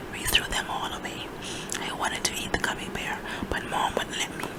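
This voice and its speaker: Someone whispers in a soothing tone at a moderate pace over noticeable background noise. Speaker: ASMR reader. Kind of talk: children's book reading aloud. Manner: whispered, soothing.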